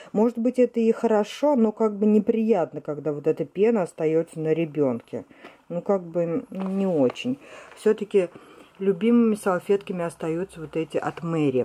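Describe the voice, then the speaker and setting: The woman talks at a moderate pace in a medium pitch. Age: 30s. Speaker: vlogger and mother; vlogger. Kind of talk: home vlog, casual talk to viewers. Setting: at home in bedroom. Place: home room. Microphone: phone near.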